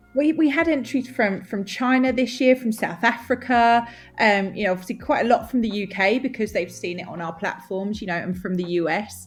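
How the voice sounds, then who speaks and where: Speaking in an Essex accent, a woman sounds animated and enthusiastic, her voice fairly high and somewhat breathy with lively intonation. She talks at a fairly quick pace with hardly any pauses against a quiet background. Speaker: nail industry magazine representative. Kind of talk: podcast interview. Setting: podcast. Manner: animated, enthusiastic.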